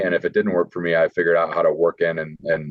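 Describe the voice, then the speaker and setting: The speaker races along at a very fast pace with a Midwestern American accent. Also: man. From northern Illinois. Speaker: football draft prospect. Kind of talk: interview. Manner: hesitant with fillers.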